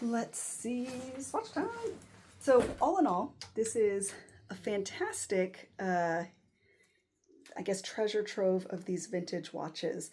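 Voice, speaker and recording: A woman with an American accent speaks very slowly with long, frequent pauses. Her medium-pitched voice has a dark, mellow tone and ordinary pitch variation. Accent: American accent, self-described as horrible. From United States. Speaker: watch collector YouTuber. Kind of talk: casual unboxing vlog. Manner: hesitant, many fillers.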